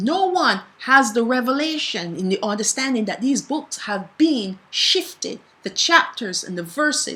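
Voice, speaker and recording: Over noticeable background noise, a woman with a high pitch speaks in a raised, projected voice, passionate in tone, at a fairly slow pace with very wide pitch swings. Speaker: bible teacher. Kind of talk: bible teaching. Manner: passionate, sometimes strong.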